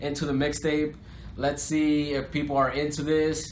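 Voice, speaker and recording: Against noticeable background noise and audible room echo, a man speaks with a fairly high pitch. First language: Spanish. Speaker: rapper. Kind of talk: interview. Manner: casual, filler-heavy.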